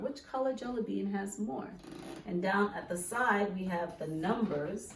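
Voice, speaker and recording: Audible room echo surrounds a woman's voice. She talks at a fairly slow pace with lively intonation. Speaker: elementary school teacher. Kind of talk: children's lesson video.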